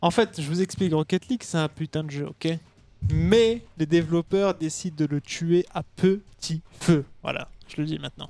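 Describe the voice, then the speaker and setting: At a fairly slow pace, the talking runs alongside music in the background. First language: not French (speaking French). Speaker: esports player. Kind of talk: casual chat.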